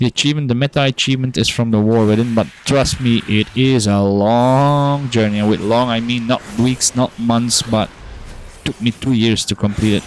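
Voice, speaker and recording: A man with a non-native accent speaks at a moderate pace and medium pitch, his intonation fairly even and his loudness very even. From Belgium. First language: not English. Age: adult, working. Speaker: gaming streamer. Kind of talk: casual game-stream chat.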